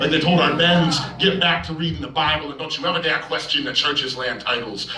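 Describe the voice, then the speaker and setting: A man talks over noticeable background noise. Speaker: slam poet. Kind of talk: slam poetry performance.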